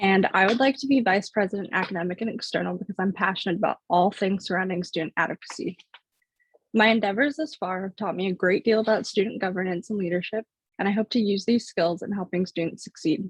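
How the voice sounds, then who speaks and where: This woman talks very fast in a somewhat breathy voice, with typical movement in her pitch. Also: medium pitch for a woman, dry, close sound with no echo. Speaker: student election candidate. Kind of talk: opening statement speech. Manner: fluent, prepared.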